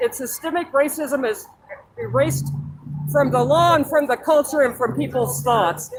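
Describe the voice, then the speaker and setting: Noticeable noise fills the background while the talker, in an American accent, keeps a moderate pace. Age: 70s. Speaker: protester. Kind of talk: street interview.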